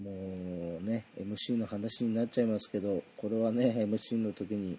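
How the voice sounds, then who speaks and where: Against a quiet background, a man speaks at a fairly slow pace with hardly any pauses. His fairly low voice has a dark, mellow tone and a monotone, flat intonation. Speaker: solo podcaster, idol concert fan. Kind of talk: casual monologue concert review.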